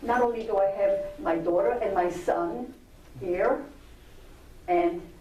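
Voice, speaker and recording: The pitch swings very widely at a very slow pace. Noticeable background noise and audible room echo surround the voice. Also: woman. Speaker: Holocaust survivor speaker. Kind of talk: testimony.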